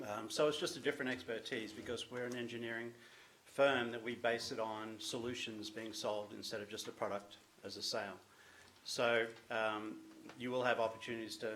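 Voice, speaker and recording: In an Australian accent, a man talks at medium pitch and a fairly quick pace with monotone, flat intonation. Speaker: business owner presenting to a town committee. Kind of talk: presentation at a public meeting. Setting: town committee meeting room.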